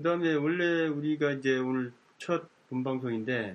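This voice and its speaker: Medium-pitched male voice with ordinary pitch variation. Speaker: community radio co-host. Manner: polite, formal.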